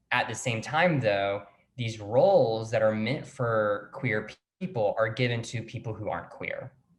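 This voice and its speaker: A man with a medium-pitched, somewhat breathy voice speaks at a fairly slow pace with ordinary pitch variation. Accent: American. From US South. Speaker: actor and playwright. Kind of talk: interview.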